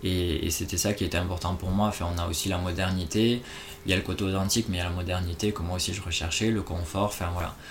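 A man speaks at a fairly quick pace in a very deep, low pitch. His intonation is flat and monotone, and background noise is noticeable. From France, Toulouse. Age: 20s. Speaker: expatriate travel worker. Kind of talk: casual interview.

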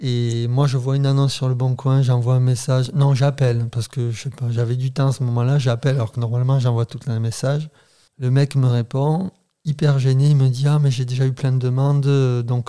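On a very clean recording with a silent background, a man speaks at a moderate pace in a monotone, flat intonation, his medium pitch carrying a dark, mellow tone. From southern France, Béziers. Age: 30s. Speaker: renewable energy worker, podcast guest. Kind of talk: casual chat.

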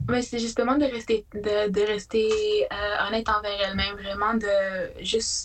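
A fairly high-pitched woman, fairly slow with hardly any pauses, monotone and flat in intonation, very even in loudness, over noticeable background noise. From Quebec, Haute-Mauricie (Atikamekw community, La Tuque). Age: 20s. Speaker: student and shelter support worker. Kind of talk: casual interview.

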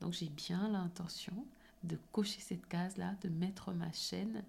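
The speech moves at a very slow pace with vocal fry. Its tone is dark and mellow. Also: woman. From Cameroon. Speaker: podcast host. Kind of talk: motivational solo podcast.

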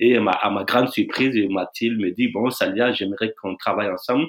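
A man speaks at a medium pitch. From Burkina Faso, near Bobo-Dioulasso. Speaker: dancer and choreographer. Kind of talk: interview. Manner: halting, with repetitions.

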